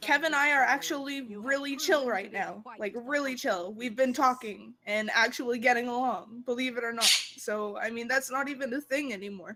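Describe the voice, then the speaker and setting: Noticeable background noise sits behind a woman with a high pitch and ordinary pitch variation. She talks at a moderate pace with hardly any pauses. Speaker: online game player. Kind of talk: heated discussion.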